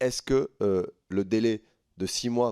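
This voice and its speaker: A man speaks in a dark, mellow tone with a southern French accent. His intonation is fairly even, and the sound is dry and close with no echo. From southern France, Tarn. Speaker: member of parliament. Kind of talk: parliamentary hearing questioning.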